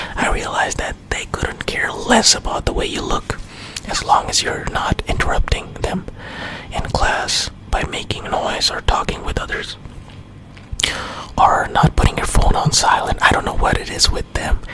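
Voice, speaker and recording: A voice whispers in a gentle tone at a moderate pace over noticeable background noise. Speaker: ASMR creator. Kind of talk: storytime ramble to camera. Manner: whispered, gentle.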